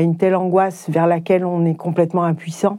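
Speaking at a moderate pace, a woman has a fairly low pitch and a dark, mellow tone. The recording is very clean, with a silent background. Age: 50s. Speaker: nurse and caregiving mother. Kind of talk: testimony.

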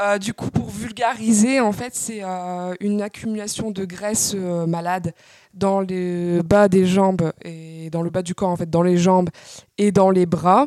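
The voice has a dark, mellow tone, a very slow pace, and fairly even intonation. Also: woman, medium pitch for a woman. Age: 20s. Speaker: patient sharing her illness experience. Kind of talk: interview testimony.

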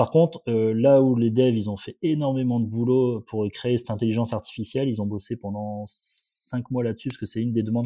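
Recorded with a dry, close sound and no echo, a man with an unremarkable speaking voice talks at a fairly quick pace and medium pitch with fairly even intonation. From northern France, Valenciennes area. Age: 30s. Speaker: periodontist and startup founder. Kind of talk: casual interview.

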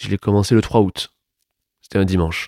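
No echo colors this close, dry sound. The recording is very clean and the background is silent. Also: man. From Toulouse, southern France. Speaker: playwright and stage director. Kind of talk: interview.

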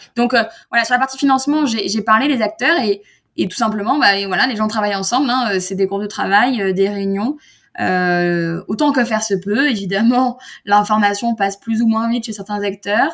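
In a very clean recording with a silent background, a woman speaks in a plain, everyday voice at a fairly high pitch, with ordinary pitch variation and a moderate pace. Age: 30s. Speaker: startup founder and industry association president. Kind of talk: interview.

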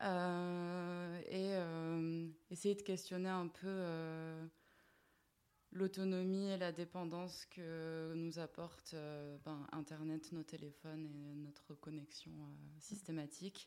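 Speaking at a very slow pace with long, frequent pauses, a woman has a fairly low pitch, a dark, mellow tone and monotone, flat intonation. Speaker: video artist. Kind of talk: casual interview.

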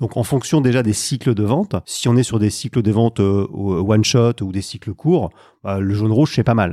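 A man speaks in an ordinary speaking voice, with a fairly low pitch and ordinary pitch variation. The recording is very clean, with a silent background and a dry, close sound with no echo. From northern France, Lille. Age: 50s. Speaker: sales coach. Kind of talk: podcast interview.

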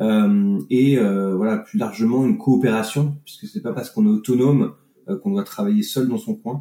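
Moving at a moderate pace, a man speaks at a medium pitch with very wide pitch swings. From France, Annecy (Alps). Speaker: business consultant and facilitator. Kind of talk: interview conversation. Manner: hesitant, with frequent fillers and repetitions.

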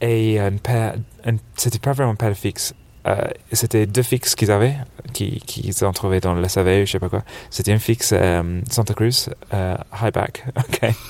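Speaking at a moderate pace with long, frequent pauses, a man keeps a fairly low pitch and fairly even intonation. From England, Birmingham. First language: English (speaking French). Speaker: snowboard shop buyer. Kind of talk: casual interview. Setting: couch in a dark trade-fair hall.

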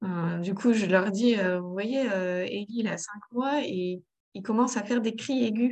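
A woman's normal speaking voice at medium pitch, fairly slow, with ordinary pitch variation and big swings in loudness. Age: 30s. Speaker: mother of three in parenting coaching. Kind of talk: coaching conversation.

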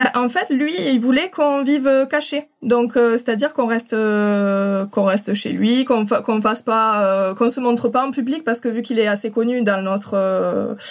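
With a slight southern French accent, a woman speaks at a fairly high pitch with ordinary pitch variation. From southern France (Occitanie). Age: 30s. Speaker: translator. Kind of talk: personal testimony. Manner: hesitant, many fillers.

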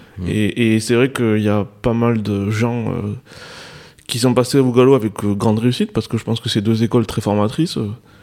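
With a southwestern French accent, a man speaks at medium pitch and a moderate pace in a dark, mellow tone with fairly even intonation. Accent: southwest French. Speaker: horse racing journalist. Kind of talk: radio panel discussion.

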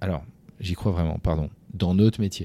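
A man with a very deep, low pitch and a dark, mellow tone talks at a fairly quick pace with fairly even intonation, recorded very cleanly against a silent background. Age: 40s. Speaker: company founder and CEO. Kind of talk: interview. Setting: office.

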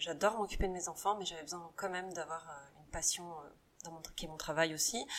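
Speaking at a very fast pace, a woman uses a fairly low pitch and fairly even intonation. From western France, Saint-Nazaire. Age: 30s. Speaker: rugby coach's wife, beauty business owner. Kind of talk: interview. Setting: at her home.

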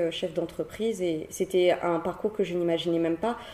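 An ordinary speaking voice belongs to a woman with a fairly low pitch. She talks at a fairly slow pace with fairly even intonation. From Réunion (Cilaos). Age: 20s. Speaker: entrepreneur and social media creator. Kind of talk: interview conversation.

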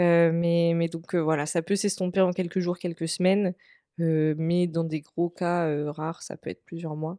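This woman's fairly low voice has a dark, mellow tone and a monotone, flat delivery at a fairly slow pace. The sound is dry and close with no echo, over a quiet background. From France, Vendée. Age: 20s. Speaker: communication student sharing mental health story. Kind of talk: personal testimony in interview. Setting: in person at host's home.

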